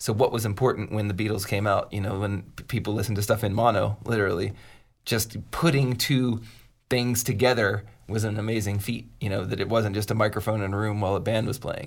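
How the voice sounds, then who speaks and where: With an American accent, a man in an unremarkable speaking voice talks at a fairly quick pace in a fairly low pitch and fairly even intonation, on a very clean recording with a silent background. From US, Pittsburgh. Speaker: podcast co-host, music producer. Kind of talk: casual chat.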